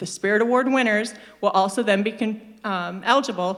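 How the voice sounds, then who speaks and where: Speaking at a moderate pace, a woman with a plain, everyday voice has a fairly high pitch and ordinary pitch variation. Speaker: staff presenter at company meeting. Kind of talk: staff presentation.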